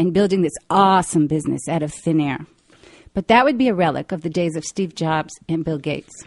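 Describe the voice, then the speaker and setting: Here is an unremarkable speaking voice: a woman at a fairly low pitch, with ordinary pitch variation and a moderate pace, in a dry, close sound with no echo against a quiet background. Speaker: radio host. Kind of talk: radio talk show interview. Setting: live call-in radio show.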